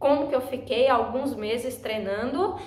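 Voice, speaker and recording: A woman talks at a moderate pace in a high pitch. Noticeable background noise and audible room echo fill the recording. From Brazil, Northeast. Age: 20s. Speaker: vlogger. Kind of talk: personal vlog talk.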